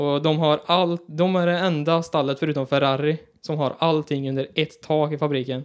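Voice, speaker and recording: With a West Swedish accent, a man talks in a fairly high pitch, his intonation monotone and flat. His loudness stays very even and he hardly pauses at all. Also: moderate pace. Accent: West Swedish (Västgöta) dialect. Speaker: podcast co-host. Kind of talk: casual chat.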